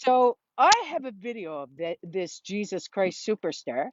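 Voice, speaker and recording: A woman with a Newfoundland accent speaks at a moderate pace, her intonation lively. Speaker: vlogger. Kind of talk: casual storytelling monologue.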